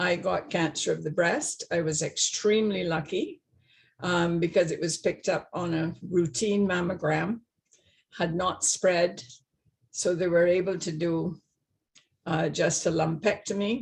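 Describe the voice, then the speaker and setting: With a slight Barbadian accent, a woman speaks fairly slowly in a fairly low, somewhat breathy voice. Her intonation stays fairly even. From Barbados. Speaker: retired nurse. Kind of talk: personal testimony. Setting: video call. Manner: halting.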